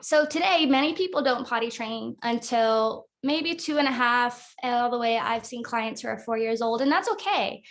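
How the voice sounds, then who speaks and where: Speaking at a moderate pace, a woman with an American accent has a high pitch. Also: ordinary pitch variation. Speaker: potty training consultant. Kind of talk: prepared talk.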